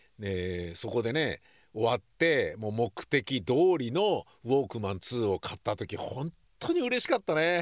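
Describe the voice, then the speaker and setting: A man speaks slowly, at a fairly slow pace, in a medium pitch. His pitch swings very widely. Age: 60s. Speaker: podcast host. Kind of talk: casual vlog-style monologue. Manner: casual, conversational with frequent fillers.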